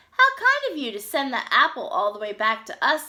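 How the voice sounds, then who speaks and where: Using a put-on character voice, a woman speaks at a fairly quick pace with a high pitch. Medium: read story.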